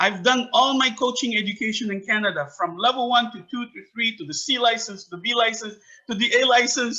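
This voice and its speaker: In an animated tone, someone speaks at a fairly quick pace with big swings in loudness and ordinary pitch variation. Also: man, extremely high pitch for a man. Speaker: soccer academy founder and coach. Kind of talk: interview.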